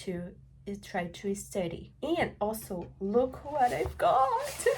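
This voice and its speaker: Somewhat breathy, a woman speaks with a non-native accent. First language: not English. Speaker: English teacher and student vlogger. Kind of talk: casual vlog talk. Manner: hesitant, with fillers and self-corrections.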